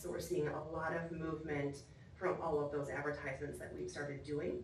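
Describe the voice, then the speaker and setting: A woman's monotone, flat delivery amid audible room echo and noticeable background noise. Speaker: venue sales manager presenting report. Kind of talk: formal report to commission. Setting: council chambers meeting. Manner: loud.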